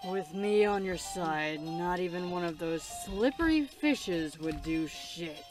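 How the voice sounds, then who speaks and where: A gruff, put-on character voice at a middle pitch talks at a fairly slow pace over clear music in the background. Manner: lazy, slow, slowpoke pace; angry.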